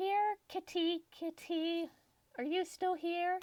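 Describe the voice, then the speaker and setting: Putting on a squeaky character voice at an extremely high pitch, a woman speaks at a very slow pace with fairly even intonation, the sound dry and close with no echo. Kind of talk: grandmotherly. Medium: actual play.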